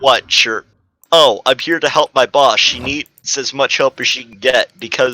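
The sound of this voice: Behind an unforced reading voice, the background stays quiet.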